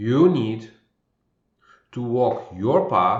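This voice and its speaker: Calm and somewhat breathy, a man speaks at a very slow pace and a medium pitch. Audible room echo surrounds his voice. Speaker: spiritual intuitive coach. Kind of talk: spiritual monologue. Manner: slow with long pauses.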